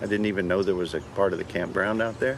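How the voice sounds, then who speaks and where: There is noticeable background noise. A man with a Louisiana accent speaks at fairly low pitch. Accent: Louisiana Southern US. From northern Louisiana, Shreveport. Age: 60s. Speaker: park ranger. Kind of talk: interview. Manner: halting, with frequent fillers and repeats.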